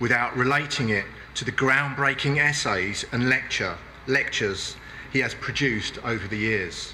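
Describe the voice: Speaking at a fairly slow pace, a man uses medium pitch, lively intonation and a bright, sharp tone.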